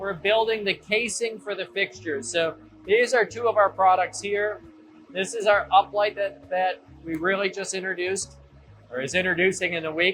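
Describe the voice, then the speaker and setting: A man speaks loudly at a moderate pace. His pitch is high, with ordinary variation. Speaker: lighting company owner. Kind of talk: factory tour explanation. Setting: factory machine room.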